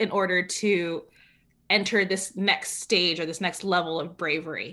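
In a very clean recording with a silent background, a woman with an American accent speaks at a medium pitch in a bright, sharp tone. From California. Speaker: community organizer and writer. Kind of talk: interview. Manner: authoritative, not soft; energetic.

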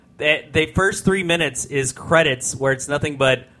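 Shouting loudly at a very fast pace, a man uses a bright, sharp tone with ordinary pitch variation. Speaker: podcast host. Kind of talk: casual podcast chat. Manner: loud, tends to yell.

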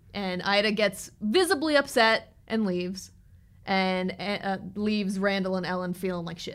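At a moderate pace, a woman with an ordinary speaking voice talks at medium pitch with ordinary pitch variation on a very clean recording with a silent background. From moved around the US; high school in Alabama. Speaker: podcast co-host. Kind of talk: casual chat.

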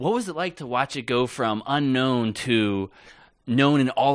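A plain, everyday voice from a man at a medium pitch, fairly slow pace and ordinary pitch variation, over a quiet background. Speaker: podcast host. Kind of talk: interview.

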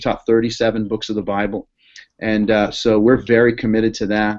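The background is quiet as a man with an American accent speaks at a moderate pace. His intonation is monotone and flat. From Boston. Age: 30s. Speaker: pastor. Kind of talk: interview.

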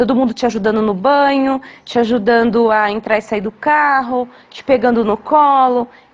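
A woman at a high pitch, fairly even intonation, moderate pace. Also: big swings in loudness. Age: 30s. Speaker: wheelchair user sharing experience. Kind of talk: recorded testimony.

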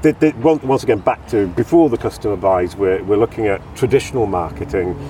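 Over noticeable background noise, a man with fairly low pitch speaks at a moderate pace, his voice making very wide pitch swings. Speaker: podcast host. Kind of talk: casual interview. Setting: outdoors in a park.

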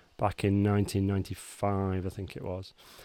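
Recorded very cleanly against a silent background, a man speaks in a fairly low voice. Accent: northern English. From northern England, Cheshire. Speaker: software engineering team lead. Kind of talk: casual chat.

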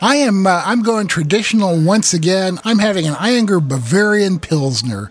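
A man with an American accent talks at a high pitch, barely pausing, his loudness very even. Noticeable background noise runs underneath. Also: lively intonation, moderate pace. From Iowa. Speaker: podcast host and homebrewing author. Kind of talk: casual chat.

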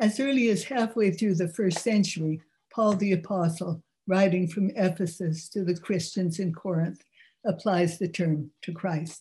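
A somewhat breathy woman with an American accent, medium pitch, a dark, mellow tone and a moderate pace. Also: ordinary pitch variation. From California. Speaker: lecturer and author. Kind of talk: lecture. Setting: video call.

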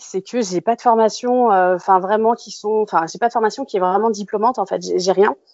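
A woman speaks in a fairly high voice. She talks at a fairly quick pace, and her pitch varies in an ordinary way. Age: 30s. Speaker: food photographer and stylist. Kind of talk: interview conversation. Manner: halting.

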